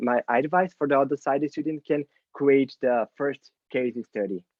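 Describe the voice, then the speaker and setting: With a Portuguese accent, a man speaks at a moderate pace in a fairly high pitch. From Brazil. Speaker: UX designer and mentor. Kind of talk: Q&A at online meetup. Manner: halting, many fillers.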